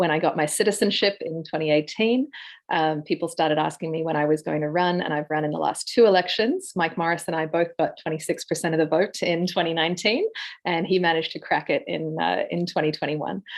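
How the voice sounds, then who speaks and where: Very fast speech in an Australian accent, with fairly even intonation. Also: woman, fairly low pitch for a woman. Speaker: political candidate. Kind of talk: candidate introduction.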